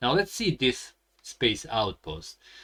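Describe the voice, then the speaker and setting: The voice belongs to a man. Its pitch is medium. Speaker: board game YouTuber. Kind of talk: game tutorial playthrough. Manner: halting, self-correcting.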